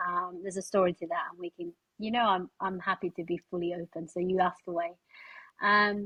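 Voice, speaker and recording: A woman is speaking. She has a Spanish accent. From Spain. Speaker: charity fundraising director, former pianist. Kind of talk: podcast interview.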